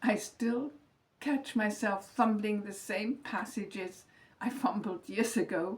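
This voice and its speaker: This woman talks very slowly, with a fairly high pitch. Her voice is somewhat breathy. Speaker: retired teacher, lifestyle vlogger. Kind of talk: scripted reflective monologue. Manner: calm, measured reading from script.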